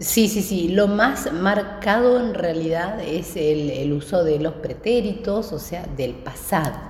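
A woman's medium-pitched voice with lively intonation, a very slow pace and hardly any pauses, plus audible room echo and noticeable background noise. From Patagonia, Argentina (Neuquén). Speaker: interview guest. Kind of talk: casual interview.

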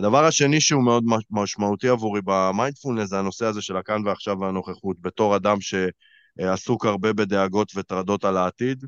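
A man with a normal speaking voice talks at a fairly quick pace and fairly low pitch, with ordinary pitch variation. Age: 30s. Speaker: life coach and podcast host. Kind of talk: casual chat.

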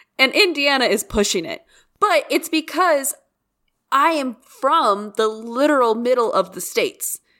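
A woman projects her high-pitched voice loudly, swinging very widely in pitch. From Kansas, near Oklahoma border. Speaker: podcast co-host. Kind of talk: casual chat. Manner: laughs often.

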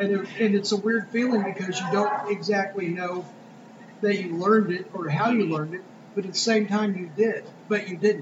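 There is noticeable background noise behind this recording. A man with a high voice speaks at a moderate pace. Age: 20s. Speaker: podcast co-host. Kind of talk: casual chat. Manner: animated.

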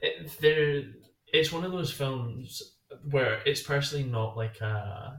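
Using lively intonation, a man with an ordinary speaking voice talks at a fairly slow pace and fairly high pitch. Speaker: podcast co-host. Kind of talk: casual chat.

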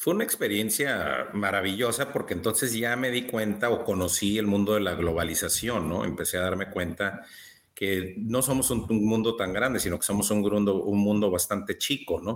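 A man with a fairly low voice talks at a moderate pace with ordinary pitch variation. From Baja California, Mexico. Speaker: entrepreneur and business coach. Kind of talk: interview. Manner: hesitant with many fillers.

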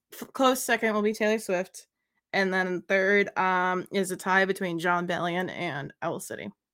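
A woman speaks at a medium pitch with fairly even intonation. Hers is an unremarkable speaking voice. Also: moderate pace, very clean recording, silent background. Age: 20s. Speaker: streamer. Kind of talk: casual chat.

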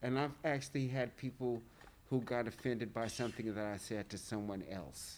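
A man with an American accent and a plain, everyday voice, medium in pitch, at a moderate pace with ordinary pitch variation. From US South. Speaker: print shop worker. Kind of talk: casual chat.

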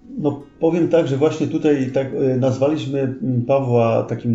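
Noticeable background noise and audible room echo surround a man's voice. His intonation is fairly even. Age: 40s. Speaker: retired police officer, pilgrim. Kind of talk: casual interview.

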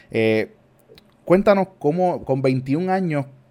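The man's fairly high voice has a dark, mellow tone and very wide pitch swings. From Puerto Rico. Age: 30s. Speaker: church member and youth podcast host. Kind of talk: casual chat about faith.

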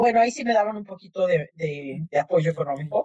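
Somewhat breathy and at a medium pitch, a woman speaks with lively intonation in a dry, close sound with no echo. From Mexico City. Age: 50s. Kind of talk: interview.

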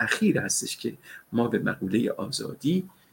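Vocal fry runs through a man's voice as he talks at a moderate pace with very wide pitch swings. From Tehran, Iran. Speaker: political analyst. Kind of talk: live panel discussion. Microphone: laptop mic with some background noise.

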